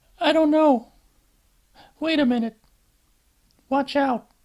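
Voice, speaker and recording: The put-on character voice sits at a high pitch and moves at a fairly slow pace. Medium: read story. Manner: anxious, earnest.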